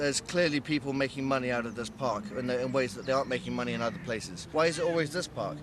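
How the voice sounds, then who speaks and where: Over noticeable background noise, a man of medium pitch talks at a very fast pace with hardly any pauses. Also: ordinary pitch variation. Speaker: local resident. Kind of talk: vox pop interview.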